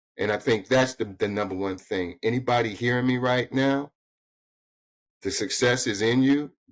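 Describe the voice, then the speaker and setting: A man's medium-pitched voice with ordinary pitch variation on a very clean recording with a silent background. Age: 60s. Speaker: financial consultant. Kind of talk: interview conversation. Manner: animated.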